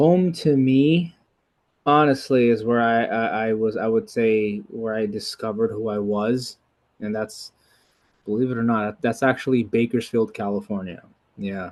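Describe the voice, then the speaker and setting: Moderately paced, a man with an American accent speaks in a plain, everyday voice with ordinary pitch variation. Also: medium pitch for a man. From New York City. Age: 30s. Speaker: martial artist. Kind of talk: casual interview.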